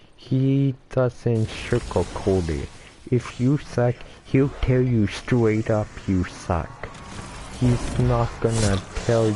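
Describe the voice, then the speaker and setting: Music plays in the background. The speaking pace is very slow. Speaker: gaming streamer. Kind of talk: live gameplay commentary. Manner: halting, repeats words.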